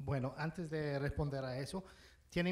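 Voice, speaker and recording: A man with an English accent talks with fairly even intonation. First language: English (speaking Spanish). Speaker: ambassador. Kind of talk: panel talk.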